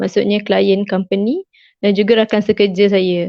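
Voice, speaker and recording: A woman talks at a fairly slow pace. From Malaysia, Kelantan. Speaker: chemistry graduate, former student leader. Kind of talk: online interview. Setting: Facebook live stream.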